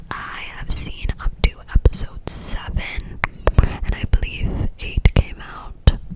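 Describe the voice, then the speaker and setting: A woman whispers at a very slow pace, her loudness swinging widely. Noticeable background noise runs underneath. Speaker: ASMR creator. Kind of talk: casual talk to camera, ASMR ramble. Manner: whispered, soft-spoken.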